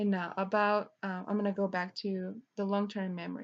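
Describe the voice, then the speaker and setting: With a non-native accent, a woman speaks at a fairly slow pace in a medium pitch, her intonation monotone and flat. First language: Spanish. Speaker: student teacher. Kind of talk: lesson plan presentation. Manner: halting.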